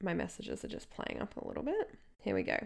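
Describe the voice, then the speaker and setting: This woman's voice has vocal fry and an animated tone. The recording is very clean, with a silent background. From England and Australia. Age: 30s. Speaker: podcast host, nutritionist and counsellor. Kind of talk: solo podcast talk.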